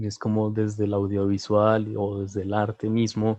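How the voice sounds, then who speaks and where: A man's fairly low, dark, mellow voice in a Bogotá accent, with monotone, flat intonation. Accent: Bogotá Colombian Spanish. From Colombia, Bogotá. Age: 20s. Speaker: visual arts student. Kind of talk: interview.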